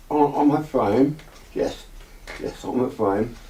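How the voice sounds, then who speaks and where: Noticeable background noise surrounds a man with a fairly high pitch who speaks with an English accent. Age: 80s+. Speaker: eyewitness. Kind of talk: testimony. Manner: halting, repeats words.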